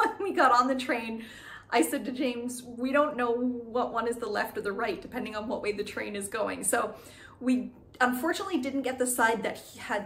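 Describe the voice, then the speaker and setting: A woman's high voice at a moderate pace, with ordinary pitch variation and light background noise. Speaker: travel vlogger. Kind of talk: casual vlog chat. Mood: cheerful, animated. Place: home room. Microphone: phone near.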